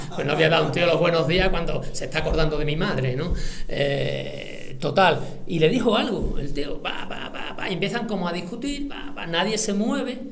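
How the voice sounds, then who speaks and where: Amid noticeable background noise and audible room echo, a man speaks at a high pitch with lively intonation. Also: moderate pace. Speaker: military veteran and writer giving a talk. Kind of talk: lecture with personal anecdotes. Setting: library auditorium with audience. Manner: casual, halting with fillers.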